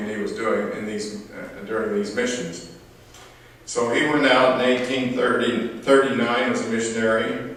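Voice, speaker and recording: A man talks at a moderate pace with a medium pitch and fairly even intonation. Noticeable background noise and audible room echo surround him. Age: 80s+. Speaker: family historian. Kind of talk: family reunion talk. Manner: halting, many fillers and restarts.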